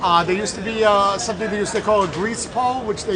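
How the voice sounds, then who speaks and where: Someone with a New York accent speaks over music in the background, with audible room echo. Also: man. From New York City, Little Italy. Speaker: local resident. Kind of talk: casual interview.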